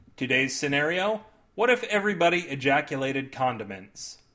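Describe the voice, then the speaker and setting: A man's fairly high, bright, sharp voice, animated in tone, with very wide pitch swings at a moderate pace. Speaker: podcast host and fiction writer. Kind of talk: scripted comedic storytelling. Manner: animated, jokey, comedic.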